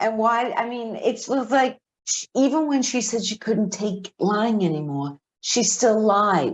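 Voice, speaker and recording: Lively intonation rides a fairly slow delivery in a Boston accent. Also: woman, fairly high pitch for a woman. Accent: thick Boston. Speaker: podcast co-host. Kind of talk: casual chat.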